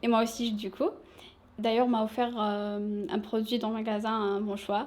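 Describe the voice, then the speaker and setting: Her pitch fairly high, a woman talks at a fairly slow pace with fairly even intonation. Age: 20s. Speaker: shop sales assistant. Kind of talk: interview.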